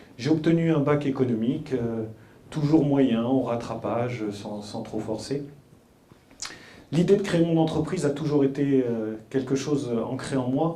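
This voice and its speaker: Amid noticeable background noise and audible room echo, a man speaks at a fairly high pitch and a fairly slow pace, pausing long and often. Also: ordinary pitch variation. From France, Paris suburbs (Mantes-la-Jolie, Yvelines). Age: 30s. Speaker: entrepreneur. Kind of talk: talk to school pupils. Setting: school hall with audience. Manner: halting, many hesitations.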